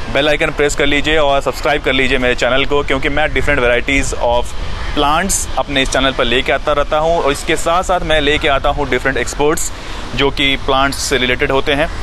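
A man talks at a moderate pace with flat, monotone intonation and very even loudness. The sound is dry with no echo, but there is noticeable background noise. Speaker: gardening channel host. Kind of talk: casual vlog intro. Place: garden. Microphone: phone near.

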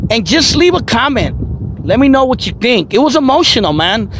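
A man speaks with an American accent. The sound is dry with no echo, over light background noise. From East Oakland, California; California. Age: 40s. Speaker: YouTuber. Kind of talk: personal testimony monologue. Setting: outdoors by the waterfront. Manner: casual, street slang. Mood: emotional, earnest, reflective. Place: waterside. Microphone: phone near.

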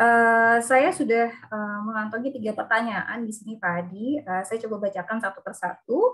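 A woman with a plain, everyday voice and a fairly high pitch speaks at a moderate pace with ordinary pitch variation and hardly any pauses. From Lampung, Indonesia. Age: 30s. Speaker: webinar moderator, occupational safety engineer. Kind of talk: moderating online seminar.

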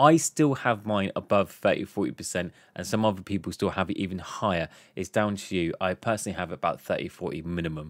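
A man with a southern English accent talks at a fairly low pitch with ordinary pitch variation. The sound is dry with no echo, and the background is quiet. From southern England. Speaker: gaming YouTuber; gaming content creator. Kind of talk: tutorial; Q&A tutorial commentary. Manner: fast. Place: home room. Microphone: studio mic.

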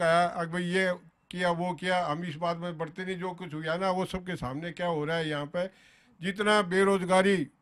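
This man's voice sits high and stays monotone and flat. He talks at a fairly slow pace. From Haryana. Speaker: local politician. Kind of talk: heated political debate. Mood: critical, argumentative about government. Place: garden. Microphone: handheld.

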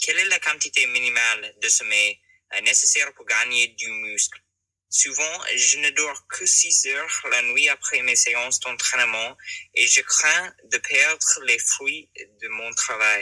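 A very slow pace with big swings in loudness, in a dry, close sound with no echo. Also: man. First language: not French (speaking French). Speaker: listener sending a voice message. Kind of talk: recorded voice message question.

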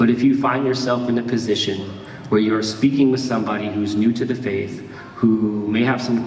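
The voice moves at a moderate pace, with audible room echo and light background noise. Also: man. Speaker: pastor. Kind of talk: sermon. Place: church.

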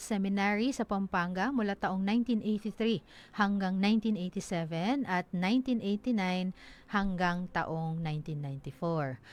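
A woman speaks at a medium pitch with ordinary pitch variation. The recording is very clean with a silent background. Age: 40s. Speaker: local radio news announcer. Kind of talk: radio news report. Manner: halting, many fillers.

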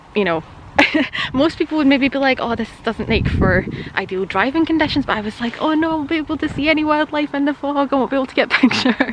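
Against noticeable background noise, a woman talks very fast in a high voice with lively intonation, the sound dry with no echo. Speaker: wildlife photographer vlogger. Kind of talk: casual vlog chat. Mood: cheerful, laughing. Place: open country. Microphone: phone near.

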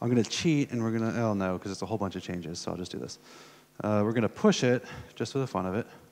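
A man with an American accent and a fairly low voice talks very fast. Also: ordinary pitch variation. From USA. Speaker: conference speaker. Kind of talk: technical talk with live demo. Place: hall. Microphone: headset.

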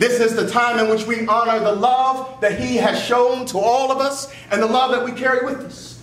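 A man speaks at an extremely high pitch with fairly even intonation and a fairly quick pace, with audible room echo and light background noise. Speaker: minister at a funeral. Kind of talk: eulogy sermon. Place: church. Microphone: podium.

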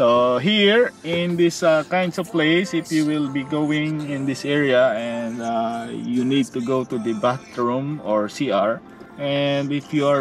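Faint music plays in the background as a man speaks fairly slowly with ordinary pitch variation, in a dry sound with no echo. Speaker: travel vlogger. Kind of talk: casual vlog chat. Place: car. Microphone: phone near.

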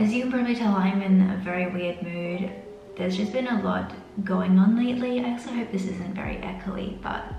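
A woman talks at a fairly quick pace with fairly even intonation. Clear music plays in the background, and there is audible room echo. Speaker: beauty vlogger. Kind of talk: casual vlog chat. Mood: stressed but relaxed, chatty. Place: bathroom. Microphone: camera far.

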